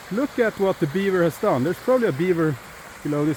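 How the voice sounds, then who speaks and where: With very wide pitch swings, a man speaks in a high voice over noticeable background noise. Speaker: YouTuber, runestone explorer. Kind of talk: outdoor vlog commentary. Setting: outdoors, winter walk. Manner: casual, halting with fillers.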